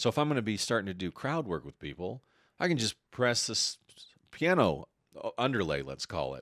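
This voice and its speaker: On a very clean recording with a silent background and a dry, close sound with no echo, a man speaks fairly quickly at medium pitch with vocal fry, very wide pitch swings and big swings in loudness. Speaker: comedian. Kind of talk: casual chat.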